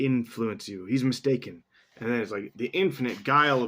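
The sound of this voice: The speaker uses an unforced reading voice. It runs through the whole clip.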